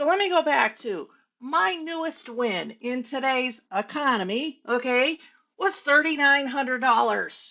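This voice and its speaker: A woman speaks loud and animated at a high pitch, with lively intonation and a fairly slow pace. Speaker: hairstylist and business coach. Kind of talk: motivational talk to camera.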